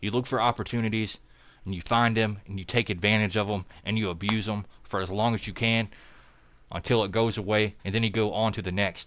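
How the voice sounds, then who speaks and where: In a very clean recording with a silent background, a man speaks at a moderate pace in a fairly low pitch. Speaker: crypto content creator and part-time trader. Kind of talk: casual livestream commentary. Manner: animated.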